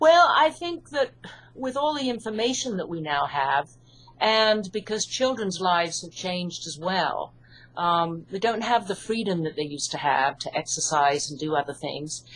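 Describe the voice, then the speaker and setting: In an English accent, a woman talks at a moderate pace and medium pitch, with very wide pitch swings and big swings in loudness. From UK. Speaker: hypnotherapist and author. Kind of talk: interview.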